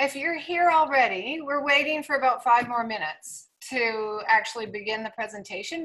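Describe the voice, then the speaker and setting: A raised, projected woman's voice, bright and sharp in tone, with lively intonation at a fairly quick pace. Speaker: equestrian coach giving a presentation. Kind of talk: online presentation.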